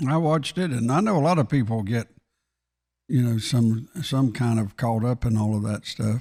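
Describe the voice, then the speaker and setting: A man speaks at a medium pitch with a dark, mellow tone, ordinary pitch variation and a moderate pace, recorded very cleanly against a silent background. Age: 70s. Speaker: talk show co-host. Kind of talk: casual chat. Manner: halting.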